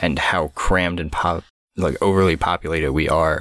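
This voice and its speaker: A man with a very deep, low pitch. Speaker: podcast co-host. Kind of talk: casual chat.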